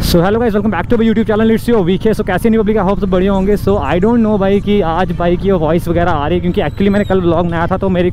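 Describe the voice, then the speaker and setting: Speaking very fast with hardly any pauses, a man with a high pitch keeps his loudness very even and his intonation fairly even, in a dry sound with no echo over noticeable background noise. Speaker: motovlogger. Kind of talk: casual vlog chat. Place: motorbike.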